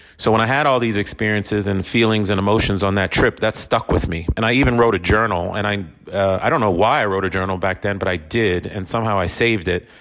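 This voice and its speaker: An energetic man talks very fast with hardly any pauses in a fairly low voice with ordinary pitch variation over noticeable background noise. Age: 40s. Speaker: podcast host, real estate investor. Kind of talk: solo monologue podcast. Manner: energetic, conversational.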